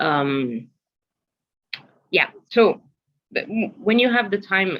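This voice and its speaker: A woman with an Arabic accent speaks at a very slow pace with lively intonation. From Egypt, Alexandria. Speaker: museum program producer, workshop speaker. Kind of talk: online workshop presentation. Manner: hesitant, many fillers.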